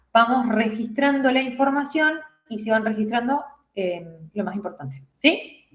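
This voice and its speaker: A woman's fairly high voice at a moderate pace, with ordinary pitch variation and audible room echo. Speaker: nursing teacher. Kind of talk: lecture.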